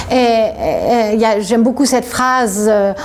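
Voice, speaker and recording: Noticeable noise sits in the background. A woman talks fairly slowly over it. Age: 60s. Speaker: author. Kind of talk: interview. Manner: halting.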